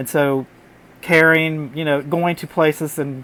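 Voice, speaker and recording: A man speaks at a fairly high pitch and a fairly slow pace. His intonation is fairly even. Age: 60s. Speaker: artist and puppeteer. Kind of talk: vlog monologue. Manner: halting, with fillers.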